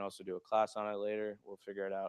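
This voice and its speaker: A man talks at a fairly quick pace with a fairly low pitch. The sound is dry and close with no echo, over a quiet background. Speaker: photography instructor. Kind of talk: workplace lecture. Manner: fast; casual, many fillers.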